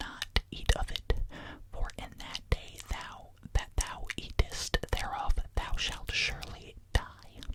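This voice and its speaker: A man whispering at a very slow pace, with noticeable background noise. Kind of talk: Bible reading, ASMR. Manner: whispered.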